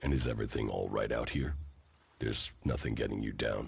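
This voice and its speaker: A man does a put-on character voice, raspy and very deep and low in pitch. He talks at a fairly quick pace with fairly even intonation. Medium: video game. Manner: terse, calm.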